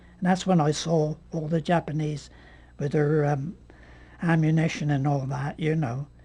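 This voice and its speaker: Dark and mellow in tone, this man's fairly high voice is somewhat breathy. He keeps a moderate pace and fairly even intonation. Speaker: war veteran. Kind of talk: interview answer. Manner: hesitant.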